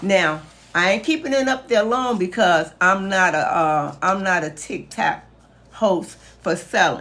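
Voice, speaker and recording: Her pace fairly slow, a woman talks in a medium pitch with lively intonation. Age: 60s. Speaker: caregiving educator and author. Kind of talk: live stream talk. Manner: animated.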